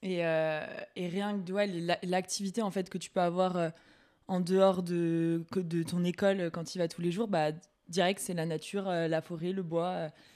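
A woman's fairly low, dark, mellow voice, monotone and flat, at a very slow pace on a very clean recording with a silent background. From Bordeaux area, France. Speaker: student guest. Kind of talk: casual chat, interview.

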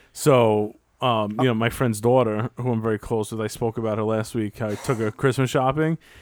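A man's medium-pitched, normal speaking voice at a fairly quick pace, with fairly even intonation, in a very clean recording with a silent background and a dry, close sound with no echo. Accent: American. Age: 30s. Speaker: podcast co-host. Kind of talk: casual chat.

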